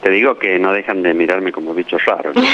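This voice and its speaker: A man speaks with a very deep, low pitch. Noticeable background noise runs underneath. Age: 60s. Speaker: doctor, former health minister. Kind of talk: interview.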